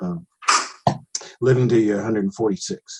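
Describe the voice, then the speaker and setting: The man's voice is somewhat breathy. He talks at a fairly quick pace. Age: 60s. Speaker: podcast host. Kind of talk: interview conversation.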